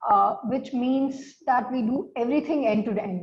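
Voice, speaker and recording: A woman speaks in a somewhat breathy voice. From India. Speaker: startup founder and CEO. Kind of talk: interview. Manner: hesitant, many fillers.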